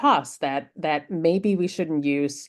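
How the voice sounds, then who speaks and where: A woman with a German accent speaks very slowly in a very deep, low pitch. Her pitch varies in an ordinary way against a quiet background. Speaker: researcher and speaker on AI hiring tools. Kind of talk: conference talk. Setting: virtual summit presentation. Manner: halting, many filler words.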